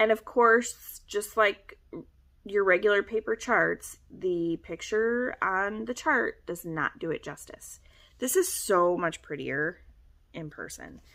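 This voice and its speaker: Very slow, lively speech from a woman at medium pitch, with a bright, sharp tone and big swings in loudness. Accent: Michigan. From Michigan. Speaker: cross-stitch vlogger. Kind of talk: casual chat.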